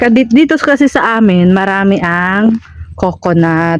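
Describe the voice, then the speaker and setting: The speaker goes at a fairly slow pace with noticeable background noise behind. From Philippines, Bicol (Albay). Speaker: vlogger. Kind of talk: casual vlog narration. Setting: outdoors on a coconut farm.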